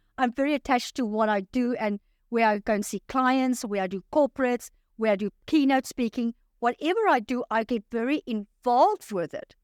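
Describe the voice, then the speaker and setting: In a very clean recording with a silent background and a dry, close sound free of echo, a woman speaks at a fairly quick pace with a high pitch, an energetic tone and ordinary pitch variation. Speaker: life coach. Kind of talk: interview.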